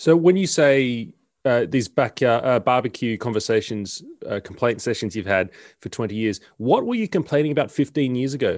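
On a very clean recording with a silent background, a man with an Australian accent talks at a fairly quick pace, his medium pitch carried by lively intonation. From Sydney, Australia. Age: 30s. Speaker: podcast host. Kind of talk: interview.

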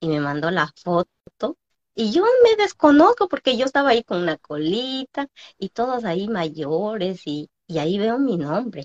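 In a dry, close sound with no echo, a woman speaks at a fairly slow pace in a medium pitch with very wide pitch swings. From Peru, small Andean village. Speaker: entrepreneur. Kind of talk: interview on live stream.

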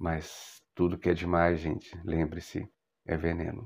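Speaking with a Brazilian accent, a man has a dark, mellow tone. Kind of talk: educational monologue.

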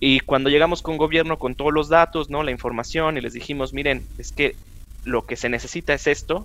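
A man's fairly high voice with vocal fry, at a fairly quick pace. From northern Mexico, Chihuahua. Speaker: chemist and road safety advocate. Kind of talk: casual interview.

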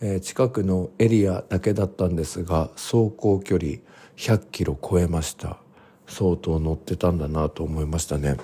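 Deep and low, a man's voice has a dark, mellow tone and ordinary pitch variation. He speaks at a moderate pace. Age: 40s. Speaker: podcast host. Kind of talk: casual diary-style monologue. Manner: frequent filler hesitations.

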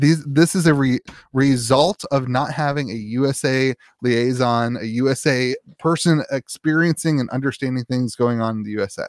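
A man with an unremarkable speaking voice talks at a moderate pace with ordinary pitch variation, recorded very cleanly against a silent background with a dry, close sound and no echo. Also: medium pitch for a man. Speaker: podcast co-host. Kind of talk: casual banter. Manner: laughs often, jokey.

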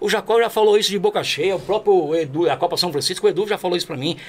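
A man speaks fairly quickly with a high voice. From Brazil, Alto Tietê region of São Paulo state. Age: 40s. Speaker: amateur football sports announcer and field reporter. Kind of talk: casual interview.

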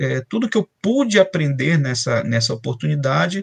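Somewhat breathy, a man speaks at a fairly slow pace with a fairly high pitch and very wide pitch swings. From Brazil, Belém do Pará. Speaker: chemical engineer and professor. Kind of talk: interview. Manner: halting, many fillers.

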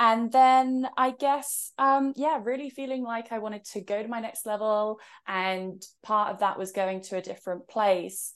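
A woman's fairly high voice in an English accent, with ordinary pitch variation at a moderate pace, over a quiet background. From England. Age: 30s. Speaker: author and spiritual mentor. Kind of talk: casual interview chat.

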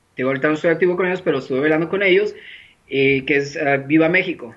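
The man's voice sits high in pitch. His pitch variation is ordinary. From Mexico, Sinaloa. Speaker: entertainer and online show host. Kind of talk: casual interview.

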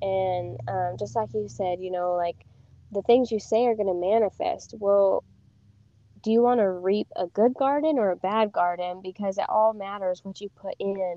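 At a moderate pace, a woman with a medium pitch and an unremarkable speaking voice talks with lively intonation. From Wyoming (from age six; born in Wisconsin). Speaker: professional barrel racer. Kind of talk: interview chat. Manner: frequent filler ums.

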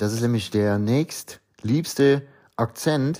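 An animated tone comes across on a very clean recording with a silent background. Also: man. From Rhineland, Euskirchen area (Eifel). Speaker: podcaster. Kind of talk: casual monologue in dialect.

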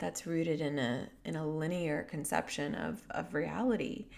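A woman's very deep, low voice with vocal fry at a moderate pace. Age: 30s. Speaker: podcast host and healing mentor. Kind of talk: reflective solo monologue. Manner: warm, gentle.

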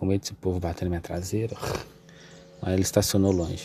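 A man at a fairly quick pace. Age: 20s. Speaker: podcast host. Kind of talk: casual monologue. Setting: in a car on the street. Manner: hesitant, many fillers.

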